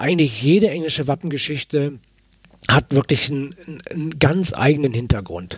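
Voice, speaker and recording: With fairly high pitch and a somewhat breathy voice, a man talks at a moderate pace. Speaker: author. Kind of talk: interview. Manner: halting.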